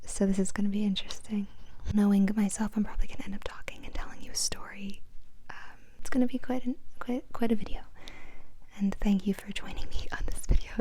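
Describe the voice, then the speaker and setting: Fairly even in intonation, the speaker goes at a very fast pace with long, frequent pauses over noticeable background noise. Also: woman, fairly high pitch for a woman. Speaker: ASMR creator. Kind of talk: casual soft-spoken Q&A talk to camera. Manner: soft-spoken, relaxing.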